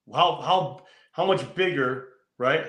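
A man's lively intonation in an American accent, with audible room echo. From California. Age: 40s. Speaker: motorcycle show host and biker. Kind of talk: casual interview.

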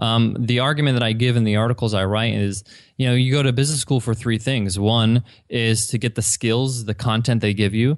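A plain, everyday voice with an American accent, fairly even intonation and very even loudness. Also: man, medium pitch for a man. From US Northeast, Long Island. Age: 30s. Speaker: entrepreneur. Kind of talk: interview conversation.

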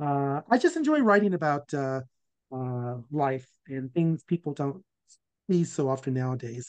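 A man's fairly high voice with an American accent, a normal speaking voice, in a dry, close sound with no echo. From Virginia, US South. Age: 60s. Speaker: former law professor and author. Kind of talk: casual interview conversation.

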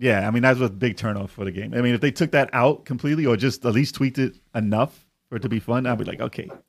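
Speaking very fast with hardly any pauses, a man holds a medium pitch with ordinary pitch variation. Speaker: podcast co-host. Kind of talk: casual chat, live stream. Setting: live stream.

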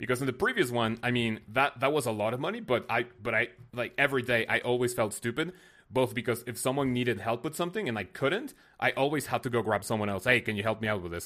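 In a very clean recording with a silent background, a man speaks at a very fast pace with a Spanish accent. His medium-pitched voice has a bright, sharp tone and ordinary pitch variation. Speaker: game streamer and video creator. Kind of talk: casual interview chat.

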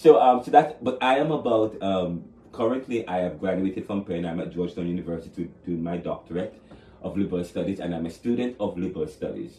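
A man's very deep, low-pitched voice in a Jamaican accent, with lively intonation and a very fast pace. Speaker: author. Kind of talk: interview. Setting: studio.

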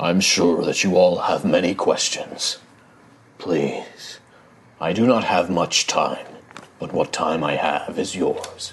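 A man uses a put-on character voice with a rumbling, solemn tone. He speaks at a fairly slow pace. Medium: actual play. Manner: solemn, formal.

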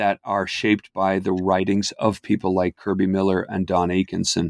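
A man talks at a moderate pace. The recording is very clean with a silent background and a dry, close sound with no echo. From Ireland, Dublin. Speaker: history professor. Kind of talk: interview.

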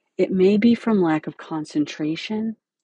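A woman with a dark, mellow tone talks at a fairly slow pace, somewhat breathy, in a dry, close sound with no echo. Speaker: podcast host and dental hygiene educator. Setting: podcast recording.

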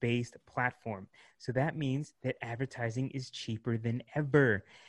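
Fairly slow and fairly even in intonation, a man talks at medium pitch in an unremarkable speaking voice, with a dry, close sound with no echo and a quiet background. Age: 30s. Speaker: marketing agency founder. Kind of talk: interview.

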